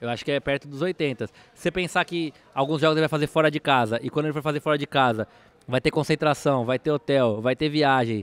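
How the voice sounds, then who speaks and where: With ordinary pitch variation, a man speaks at a fairly quick pace and a fairly high pitch, in a dry sound with no echo. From São Paulo city, Brazil; Brazil. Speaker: football assistant coach. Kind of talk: casual interview chat; interview answer. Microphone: studio mic.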